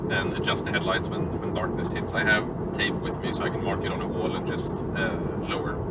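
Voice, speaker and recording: Loud background noise surrounds a man speaking at a fairly quick pace, the sound dry with no echo. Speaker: driver vlogger. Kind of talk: casual vlog chat. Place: car. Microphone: phone near.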